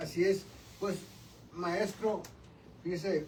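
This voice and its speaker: Against noticeable background noise, a man with a high pitch speaks at a very slow pace. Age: 60s. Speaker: radio show co-host. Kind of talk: casual interview chat. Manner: informal, joking.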